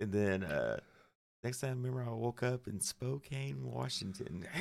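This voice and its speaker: In a Southern US accent, the speaker talks at a fairly slow pace with very wide pitch swings. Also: man. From Arkansas (Cabot area, near Little Rock). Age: 40s. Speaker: metal guitarist. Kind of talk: casual chat. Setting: studio.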